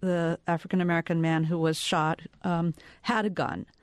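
A woman speaks at a fairly slow pace in a normal speaking voice, fairly low in pitch. The sound is dry and close with no echo against a quiet background. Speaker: journalist panelist. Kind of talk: panel discussion.

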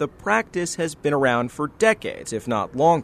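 A man with a fairly high pitch speaks with lively intonation in an unremarkable speaking voice. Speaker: environment reporter. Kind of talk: scripted news report.

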